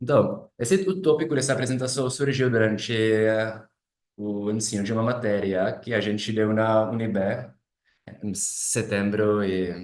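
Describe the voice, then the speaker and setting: Fairly slow speech from a man with a Czech accent, medium pitch and ordinary pitch variation, plus audible room echo. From Czech Republic. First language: Czech (speaking Portuguese). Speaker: philosophy doctoral student. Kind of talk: academic presentation. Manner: halting, many self-corrections.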